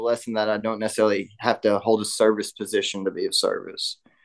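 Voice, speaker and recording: A man with an East Tennessee accent at a medium pitch, talking at a very fast pace. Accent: East Tennessee Southern American. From US South, Knoxville, Tennessee. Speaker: recovering addict in twelve-step program. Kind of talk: recovery testimony in casual interview.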